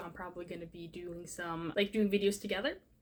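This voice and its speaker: A woman talks at a very fast pace. Noticeable background noise is present. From Norway. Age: 20s. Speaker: booktuber. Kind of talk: casual vlog talk. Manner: halting, many fillers.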